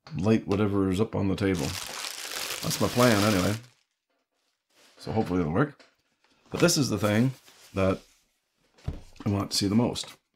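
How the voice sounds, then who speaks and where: A moderate pace with ordinary pitch variation and long, frequent pauses, set against noticeable background noise. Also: man. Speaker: hobbyist reviewer. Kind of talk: casual unboxing talk. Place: home room.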